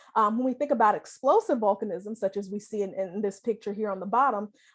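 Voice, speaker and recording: Against a quiet background, a woman with an American accent speaks at a fairly high pitch with ordinary pitch variation. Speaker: planetary scientist. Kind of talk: lecture. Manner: fast.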